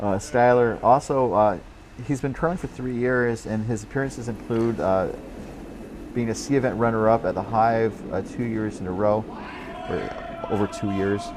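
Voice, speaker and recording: Moderate pace from a man at medium pitch, ordinary pitch variation, over noticeable background noise. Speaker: curling commentator. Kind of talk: live sports commentary. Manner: hesitant, many filler words.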